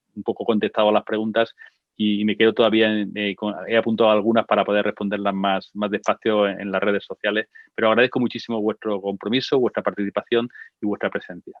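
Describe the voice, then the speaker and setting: A man's very fast, monotone delivery, fairly low in pitch and flat in intonation. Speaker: expert speaker on gender violence. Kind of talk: online talk and conversation. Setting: online session with sign language interpreters.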